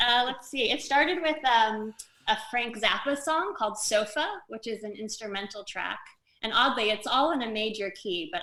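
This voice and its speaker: With a General American accent, a woman speaks at a moderate pace and a fairly high pitch. Her tone is bright and sharp, her intonation lively, and her loudness swings widely. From Los Angeles. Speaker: actress. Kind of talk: interview answer.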